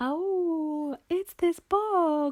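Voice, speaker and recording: An extremely high, squeaky put-on character voice. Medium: read story.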